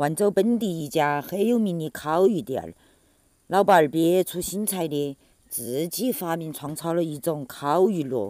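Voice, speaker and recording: Talking fairly slowly in a Chongqing accent, a woman with a fairly low voice uses lively intonation. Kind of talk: humorous food video narration.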